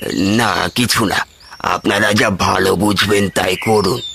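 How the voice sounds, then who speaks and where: A man puts on a raspy, cartoonish character voice at a fairly low pitch. He talks at a moderate pace with monotone, flat intonation. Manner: rambling, hesitant.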